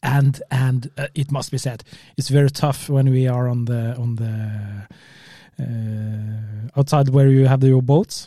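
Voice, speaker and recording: In a Norwegian accent, the voice moves at a very slow pace with fairly even intonation. It sounds somewhat breathy, with a dark, mellow tone. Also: man, medium pitch for a man. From Norway. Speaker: spearfisher podcast co-host. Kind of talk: casual chat. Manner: halting.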